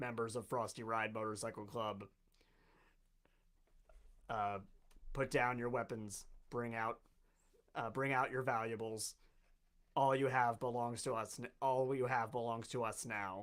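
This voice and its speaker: In a put-on character voice, a man booms at a moderate pace and medium pitch, leaving long, frequent pauses. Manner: commanding, threatening.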